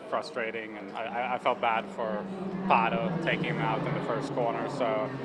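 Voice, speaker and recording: A man speaks at a fairly quick pace, with noticeable background noise and audible room echo. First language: not English. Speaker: racing driver. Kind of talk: press interview. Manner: halting.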